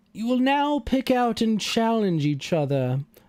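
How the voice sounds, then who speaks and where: A man does a loud put-on character voice with very wide pitch swings, in a very clean recording over a silent background. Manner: commanding, announcing.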